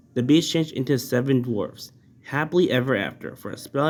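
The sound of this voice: The pitch moves in an ordinary way. It is an unforced reading voice.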